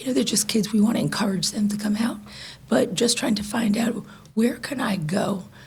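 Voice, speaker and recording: Background noise is noticeable. The pace is moderate and the intonation fairly even. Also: woman. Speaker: citizen speaking at council meeting. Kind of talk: public comment. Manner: halting.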